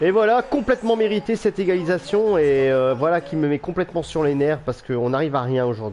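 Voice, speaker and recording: Animated in tone, a man talks at a fairly quick pace. His fairly high pitch makes very wide swings. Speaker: gaming YouTuber. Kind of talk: gameplay commentary.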